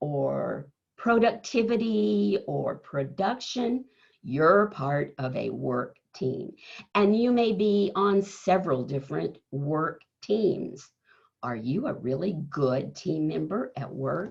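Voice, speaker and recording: Very slow and fairly low-pitched, a woman's voice carries vocal fry and very wide pitch swings. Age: 70s. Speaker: keynote speaker on leadership. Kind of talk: motivational talk.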